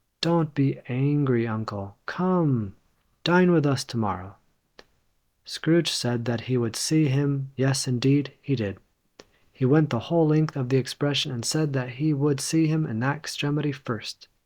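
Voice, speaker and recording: A plain, everyday voice from a man, fairly high in pitch, at a fairly slow pace on a very clean recording with a silent background. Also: ordinary pitch variation. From Los Angeles, California. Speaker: English teacher. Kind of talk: audiobook reading of a classic novel.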